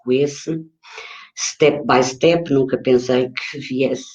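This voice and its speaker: This woman has a very deep, low pitch. Her pitch varies in an ordinary way. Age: 60s. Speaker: author and retired journalist. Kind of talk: talk about own work. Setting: online live stream. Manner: halting, many fillers.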